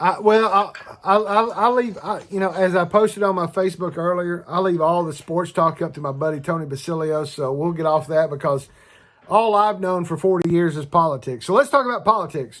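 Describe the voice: A man talks at a fairly quick pace, his pitch high for a man. His tone is fairly bright, with ordinary pitch variation.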